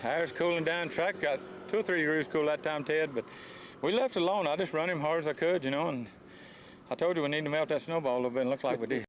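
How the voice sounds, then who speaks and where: This man talks very fast with a Southern US accent and a fairly high pitch. His loudness stays very even while his pitch varies in an ordinary way. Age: 60s. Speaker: drag racing driver. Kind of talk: post-race interview.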